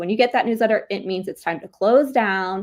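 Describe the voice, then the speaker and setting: An animated woman with an American accent, medium pitch and ordinary pitch variation, on a very clean recording with a silent background. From Philadelphia, US. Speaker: podcast host. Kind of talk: casual chat.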